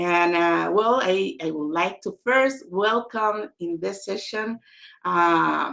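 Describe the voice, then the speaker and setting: A woman with a medium pitch and ordinary pitch variation speaks at a very slow pace in a bright, sharp tone. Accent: Spanish. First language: Spanish. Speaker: author. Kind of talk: book launch webinar.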